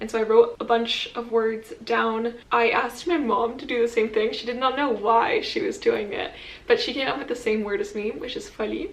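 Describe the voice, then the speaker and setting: A woman with a fairly high pitch talks at a moderate pace with hardly any pauses and big swings in loudness, over noticeable background noise. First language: French. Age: 20s. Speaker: vlogger. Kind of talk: casual chat. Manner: casual, with filler words.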